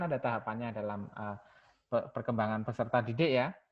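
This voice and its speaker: A man with a Javanese accent. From Java, Indonesia. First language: Javanese (speaking Indonesian). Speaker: university lecturer. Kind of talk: lecture. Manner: code-switching Indonesian and English.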